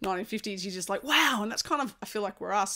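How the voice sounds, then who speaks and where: A woman with an Australian accent talks at a very fast pace over noticeable background noise. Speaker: podcast host and former national baseball player. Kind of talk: podcast interview.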